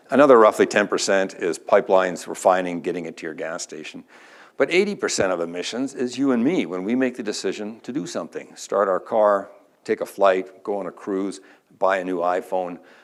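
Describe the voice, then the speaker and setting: On a very clean recording with a silent background, a man with a Canadian accent uses an ordinary speaking voice, fairly low in pitch, at a fairly quick pace with ordinary pitch variation. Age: 60s. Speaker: energy industry speaker. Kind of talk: conference talk.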